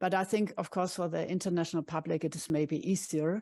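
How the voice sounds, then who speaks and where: A woman with a German accent, a fairly low pitch, a dark, mellow tone and fairly even intonation. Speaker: curator and professor. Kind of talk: conference presentation.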